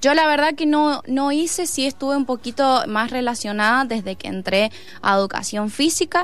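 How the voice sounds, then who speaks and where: With lively intonation, a woman talks in a high voice at a moderate pace. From Argentina, Mendoza (Santa Rosa). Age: 20s. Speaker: harvest festival queen candidate and PE student. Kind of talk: radio interview. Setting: studio.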